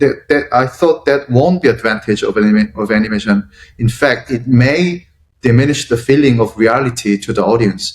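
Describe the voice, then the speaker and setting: This man has a Korean accent and talks at a moderate pace with ordinary pitch variation. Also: medium pitch for a man. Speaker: interpreter for film director. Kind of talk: interview. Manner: halting.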